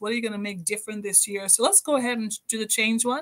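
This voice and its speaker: Over a quiet background, a woman talks very fast with fairly even intonation. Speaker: podcast host, motivational speaker. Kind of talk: motivational podcast talk. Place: home room.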